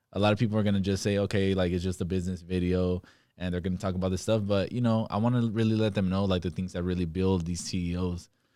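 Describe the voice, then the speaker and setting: In a very clean recording with a silent background, a man talks very fast in a very deep, low, dark, mellow voice with monotone, flat intonation. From Stockton, California. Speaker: podcast host; entrepreneur. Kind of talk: casual interview.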